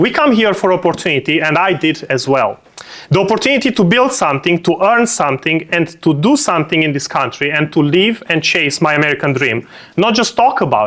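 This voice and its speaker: Over noticeable background noise, a man talks at a high pitch with very wide pitch swings. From Romania. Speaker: political speaker. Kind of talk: speech.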